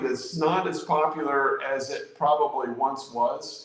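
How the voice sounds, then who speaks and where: Against noticeable background noise and audible room echo, a man with an American accent talks at a fairly slow pace. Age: 60s. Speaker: amateur radio YouTuber. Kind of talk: casual chat. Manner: halting, many repeated words.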